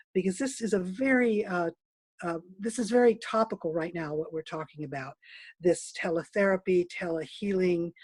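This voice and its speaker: Her voice somewhat breathy, a woman speaks at a medium pitch with lively intonation. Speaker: dance movement therapist. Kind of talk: online presentation. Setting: video call. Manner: fast.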